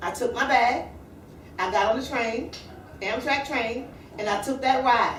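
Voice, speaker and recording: A high-pitched woman's voice amid noticeable background noise and audible room echo. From South Carolina. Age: 40s. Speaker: motivational speaker. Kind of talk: motivational talk.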